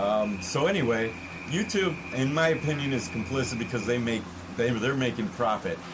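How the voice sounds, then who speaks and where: In an American accent, a man speaks at a moderate pace with lively intonation, amid noticeable background noise and audible room echo. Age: 60s. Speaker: consumer warning vlogger. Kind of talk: casual monologue. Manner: halting, repetitive; animated.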